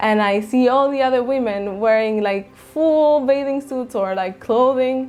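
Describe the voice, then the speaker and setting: Over music in the background, a woman with a high pitch and ordinary pitch variation talks at a fairly slow pace with hardly any pauses. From Chile. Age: 30s. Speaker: vlogger. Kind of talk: casual vlog monologue.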